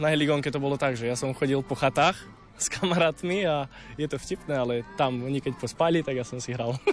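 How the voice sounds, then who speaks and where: Against noticeable background noise, a man speaks very fast, fairly high in pitch and with ordinary pitch variation. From Slovakia, Čierny Balog area. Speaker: amateur accordion player. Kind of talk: interview.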